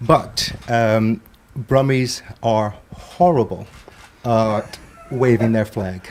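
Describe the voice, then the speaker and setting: At a very slow pace, a man speaks in a medium pitch with an American accent and ordinary pitch variation. Noticeable background noise runs underneath. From US, Brooklyn, New York. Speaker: panel guest, media industry. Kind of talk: live panel discussion. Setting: TV studio, live broadcast.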